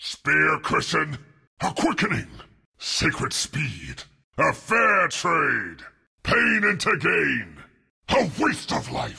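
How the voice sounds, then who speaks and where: A man uses a raspy, put-on character voice. He talks at a very slow pace. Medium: dub. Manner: intense, solemn.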